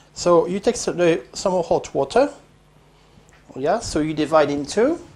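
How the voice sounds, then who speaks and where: The speaker has a French accent. The pace is moderate. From France. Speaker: home cooking video host. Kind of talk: cooking tutorial. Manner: casual, with frequent hesitations.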